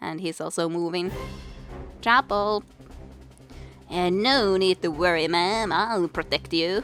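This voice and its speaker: Music in the background behind a woman's fairly low voice, fairly slow and broken by long, frequent pauses, with ordinary pitch variation. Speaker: let's play gamer. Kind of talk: reading game dialogue aloud. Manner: casual.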